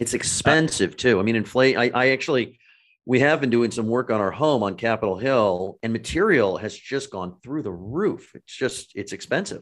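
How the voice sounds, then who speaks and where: Against a quiet background, a man with an American accent speaks in a normal speaking voice at a medium pitch and moderate pace, with lively intonation. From California. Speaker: political journalist and podcast host. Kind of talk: interview.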